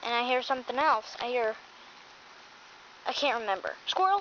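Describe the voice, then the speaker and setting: A woman's put-on character voice, high-pitched and at a moderate pace, with clear background noise. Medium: solo performance.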